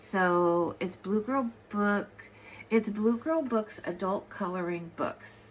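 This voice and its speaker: A woman talks with a medium pitch. Her pace is very slow. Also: ordinary pitch variation. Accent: American. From US West Coast, Los Angeles. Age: 60s. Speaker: artist and coloring book author. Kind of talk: casual vlog talk to camera. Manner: rambling, halting with many fillers.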